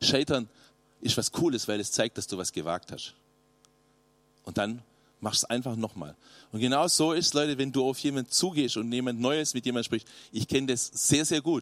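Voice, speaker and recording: Speaking at a moderate pace with long, frequent pauses, a man with a medium-pitched voice sounds animated and lively in intonation, recorded dry and close with no echo in a very clean recording with a silent background. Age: 50s. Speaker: youth pastor. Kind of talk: sermon.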